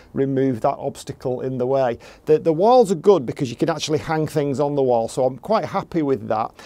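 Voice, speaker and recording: This man talks at a fairly quick pace with hardly any pauses, his dark, mellow tone carrying ordinary pitch variation. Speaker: gardening vlogger. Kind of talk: casual vlog chat. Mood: pleased, relaxed. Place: garden. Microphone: phone near.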